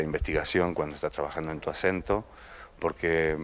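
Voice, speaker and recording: With an Argentine accent, a man talks at a fairly quick pace in a very deep, low pitch and a monotone, flat intonation. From Argentina. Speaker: actor. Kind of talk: interview. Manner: halting, with repetitions.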